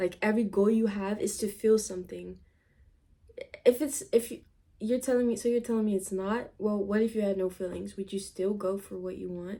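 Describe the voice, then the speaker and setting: In a non-native accent, the speaker uses a dark, mellow tone, a moderate pace and fairly even intonation. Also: woman. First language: not English. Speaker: vlogger. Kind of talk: casual chat. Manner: halting.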